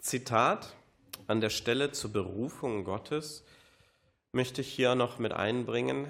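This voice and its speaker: With long, frequent pauses and vocal fry, a man talks very slowly at a medium pitch on a very clean recording with a silent background. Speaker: preacher. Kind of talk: sermon. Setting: church service.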